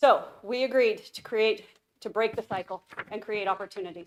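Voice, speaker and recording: The voice belongs to a woman. She speaks at a fairly high pitch. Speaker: youth shelter director. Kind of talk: public presentation. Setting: city council meeting. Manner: fast.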